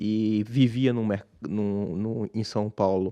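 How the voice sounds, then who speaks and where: A man's fairly low, dark and mellow voice in a Pernambuco accent, with fairly even intonation and a dry, close sound with no echo. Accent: Pernambuco accent, kept. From Brazil, Pernambuco (Recife). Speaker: businessman, investor. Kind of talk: interview. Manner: halting, many restarts.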